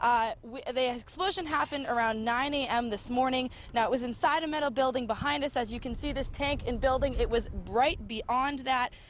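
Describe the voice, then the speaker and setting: A woman with an American accent, high in pitch with ordinary pitch variation, at a fairly quick pace. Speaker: TV news reporter. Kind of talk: field news reporting, live report and stand-up. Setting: outdoors on location, live remote.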